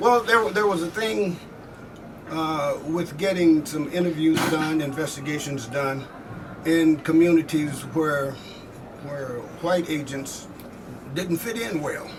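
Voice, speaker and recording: Speaking at a very slow pace with long, frequent pauses, a man uses a fairly high pitch and ordinary pitch variation. Noticeable background noise and audible room echo fill the recording. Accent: American. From southeast Missouri. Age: 70s. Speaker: army veteran. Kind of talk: oral history interview. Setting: convention floor.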